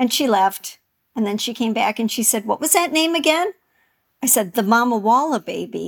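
Recorded dry and close with no echo, a woman with an American accent speaks in a fairly high pitch with lively intonation. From Wisconsin, US. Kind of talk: casual chat.

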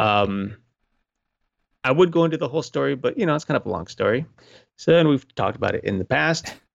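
A man with a fairly high pitch and vocal fry talks at a very fast pace, with very wide pitch swings and long, frequent pauses. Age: 30s. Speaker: paranormal podcast co-host. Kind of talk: casual chat.

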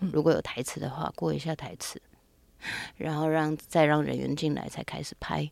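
Speech at a moderate speed, very cleanly recorded against a silent background. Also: woman. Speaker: actress and intimacy coordinator. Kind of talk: interview conversation.

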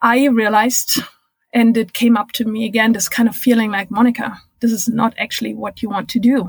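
A woman speaks in a monotone, flat intonation with a German accent. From Germany. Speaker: record-setting cyclist and diversity consultant. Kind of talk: interview. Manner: hesitant, many fillers.

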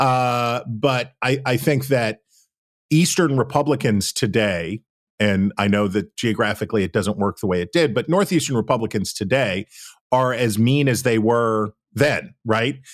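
An ordinary speaking voice from a man with an American accent, medium in pitch, moving at a fairly slow pace with ordinary pitch variation. His loudness stays very even on a very clean recording with a silent background. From West Virginia. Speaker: political journalist. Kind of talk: casual chat.

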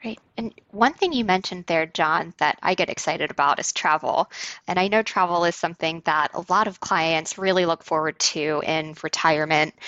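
This woman has an unremarkable speaking voice with a fairly low pitch and ordinary pitch variation. She keeps a moderate pace with hardly any pauses. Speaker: co-host, financial planner. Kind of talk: interview conversation.

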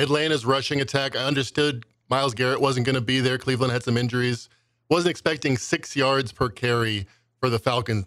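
Fairly quick in pace, this is a plain, everyday voice with very even loudness and fairly even intonation. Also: man, medium pitch for a man. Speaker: sports betting stats researcher. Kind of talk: sports betting analysis chat.

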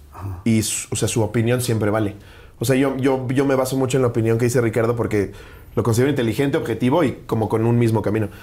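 A man's very fast, medium-pitched speech in a dark, mellow tone. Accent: Mexican. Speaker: stand-up comedian. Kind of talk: casual interview chat.

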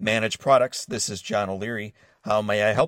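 A man puts on a raspy character voice, fairly low-pitched, at a fairly quick pace. His intonation is fairly even but his loudness swings widely, in a dry, close sound with no echo. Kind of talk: formal, businesslike. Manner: professional, polite.

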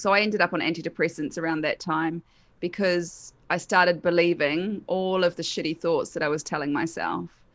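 A woman's fairly low voice with a New Zealand accent, ordinary pitch variation and a quiet background. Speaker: hypnotherapist. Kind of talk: casual interview chat.

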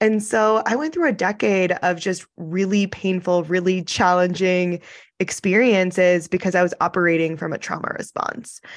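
With a plain, everyday voice, a woman talks at a moderate pace and medium pitch, her pitch varying in an ordinary way against a quiet background. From US, born in Iran. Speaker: spiritual coach and trauma healer. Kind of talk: casual chat.

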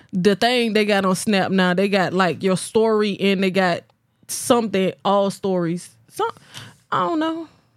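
A woman speaks at a fairly slow pace in a normal speaking voice, her pitch medium and its variation ordinary. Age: 20s. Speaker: podcast co-host. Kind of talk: casual chat.

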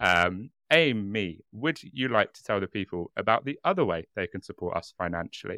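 With a British accent and a bright, sharp tone, a man with a fairly low pitch speaks in a lively way with hardly any pauses, captured in a very clean, dry, close recording with no echo and a silent background. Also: moderate pace. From Britain. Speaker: true crime podcast co-host. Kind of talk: casual chat with storytelling. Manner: animated.

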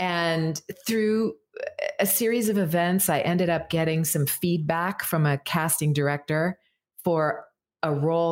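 The speech moves at a fairly slow pace with ordinary pitch variation and very even loudness, in a very clean recording with a silent background. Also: woman. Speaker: voice actor. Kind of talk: casual chat. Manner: well-articulated.

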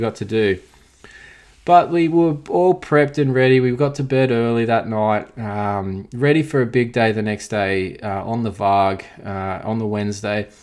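The speaker has an Australian accent and a moderate pace. The pitch variation is ordinary. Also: man. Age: 30s. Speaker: podcast host, motocross rider. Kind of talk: casual podcast monologue.

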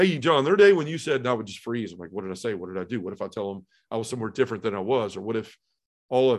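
Against a quiet background, a man with a Tennessee accent talks at a very fast pace in a medium pitch, with lively intonation and big swings in loudness. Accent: Southern US (Tennessee). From US South, Memphis, Tennessee. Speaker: podcast host and recovering addict. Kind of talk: testimony.

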